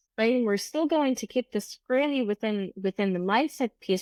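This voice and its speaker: Her intonation is lively, and the recording is very clean with a silent background and a dry, close sound with no echo. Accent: German. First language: German. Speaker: podcast host and business coach. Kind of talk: solo podcast monologue. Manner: unscripted, with hesitations.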